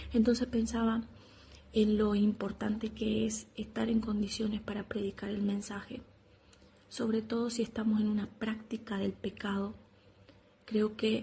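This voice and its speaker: Fairly high for a woman, her voice is dark, mellow and somewhat breathy, with monotone, flat intonation. She speaks at a fairly slow pace with long, frequent pauses. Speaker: preacher. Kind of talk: devotional teaching. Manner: soft-spoken.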